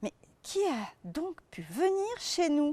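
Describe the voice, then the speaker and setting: A woman's put-on character voice, high in pitch, at a very slow pace. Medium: read story.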